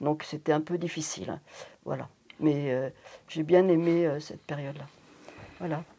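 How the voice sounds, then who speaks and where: A woman's very deep, low, dark and mellow voice at a moderate pace, with fairly even intonation, big swings in loudness, and long, frequent pauses. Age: 70s. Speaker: retired teacher, association volunteer. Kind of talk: interview testimony.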